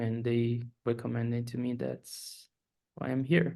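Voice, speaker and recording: A man is speaking. He has a Brazilian accent. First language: Portuguese. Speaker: postdoctoral researcher. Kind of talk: self-introduction.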